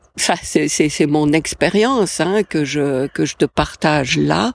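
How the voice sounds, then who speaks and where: At a very slow pace, the speaker uses lively intonation, with a dry, close sound and no echo. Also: woman. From Switzerland, Valais. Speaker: life coach podcaster. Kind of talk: solo podcast talk. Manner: hesitant, many fillers.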